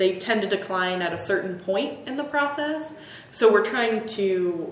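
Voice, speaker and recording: Delivered at a fairly slow pace with lively intonation, the voice comes through noticeable background noise and audible room echo. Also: woman, medium pitch for a woman. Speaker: conservation horticulturist. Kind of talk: casual chat.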